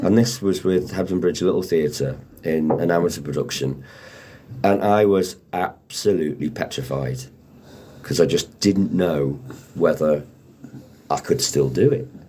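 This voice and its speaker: With a very deep, low pitch and a dark, mellow tone, a man speaks at a moderate pace with lively intonation and vocal fry. Long, frequent pauses mark his delivery. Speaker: radio presenter and actor. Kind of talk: interview answer.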